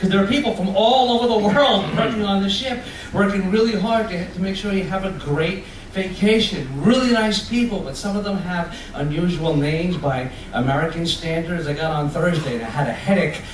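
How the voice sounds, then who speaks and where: A man's high-pitched voice in a Long Island accent, fairly quick with lively intonation, amid noticeable background noise and audible room echo. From Long Island, New York. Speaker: comedian. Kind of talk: stand-up. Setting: stage with audience on a cruise ship. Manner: fast.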